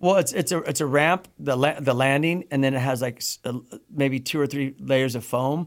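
A man talks at a moderate pace in an American accent. He has an ordinary speaking voice with ordinary pitch variation. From US Midwest. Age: 50s. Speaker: pro BMX rider. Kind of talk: casual chat. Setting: studio.

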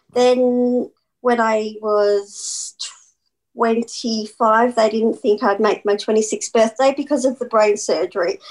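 The pace is very slow. The intonation stays fairly even. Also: woman, fairly high pitch for a woman. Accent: Australian. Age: 40s. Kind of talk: interview.

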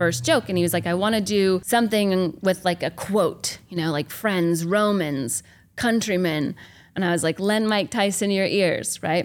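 A woman with an American accent speaks in a normal speaking voice at a medium pitch. Her pace is moderate, with ordinary pitch variation. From US South, small-town Georgia. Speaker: stand-up comedian. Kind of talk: casual interview chat. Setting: backstage at a comedy club.

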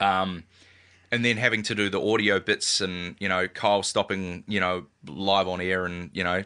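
A man at a moderate pace, fairly low-pitched with a bright, sharp tone and fairly even intonation, against a quiet background. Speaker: radio imaging producer. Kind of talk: casual interview chat.

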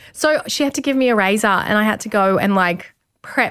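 A woman with an Australian accent, in a very clean recording with a silent background and a dry, close sound with no echo. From country Victoria, Australia. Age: 30s. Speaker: model and TV presenter. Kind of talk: casual interview chat. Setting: studio.

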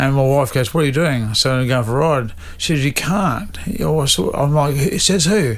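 Moderate pacing from a man with a fairly high pitch, plus noticeable background noise. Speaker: stuntman and racer. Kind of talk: casual interview chat. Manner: halting.

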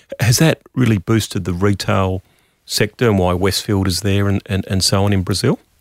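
Fairly low in pitch and fairly even in intonation, a man with an Australian accent talks at a moderate pace, captured with a dry, close sound with no echo. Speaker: economist, podcast host. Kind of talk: interview.

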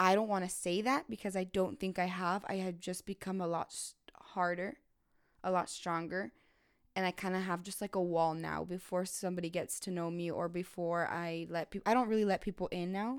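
A woman with an ordinary speaking voice at medium pitch, fairly quick, with fairly even intonation, on a very clean recording with a silent background. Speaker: guest. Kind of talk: casual podcast conversation.

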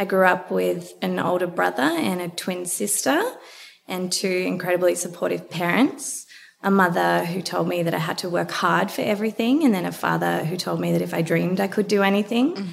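A woman talks at a fairly quick pace with an Australian accent, with noticeable background noise behind her. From Australia, Melbourne. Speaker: beauty brand founder. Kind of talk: interview.

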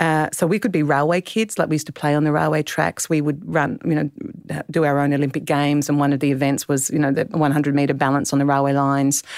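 Speaking at a fairly quick pace, a woman with an Australian accent uses a very deep, low pitch and fairly even intonation, on a very clean recording with a silent background. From South Australia, Clare Valley. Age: 50s. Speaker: novelist. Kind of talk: interview.

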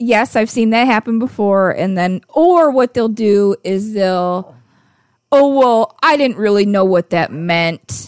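In a very clean recording with a silent background, a woman speaks very slowly. Her fairly high voice has lively intonation. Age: 30s. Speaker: podcast co-host. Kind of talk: casual chat.

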